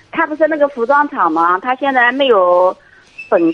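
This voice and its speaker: Noticeable noise sits behind the woman's high voice as her pitch swings very widely. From Anhui, China. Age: 40s. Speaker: caller. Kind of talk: call-in advice conversation. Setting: phone call.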